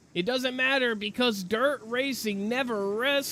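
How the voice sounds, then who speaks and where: Through noticeable background noise, a male voice sounds at an extremely high pitch. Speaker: sim racing commentator. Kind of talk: live commentary. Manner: animated.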